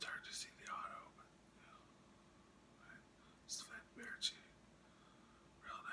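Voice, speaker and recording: Whispering with long, frequent pauses. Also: fairly slow pace. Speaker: hockey card collector and ASMR whisperer. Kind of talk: casual talk to camera, card showing. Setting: late night, home recording. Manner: whispered, soft-spoken.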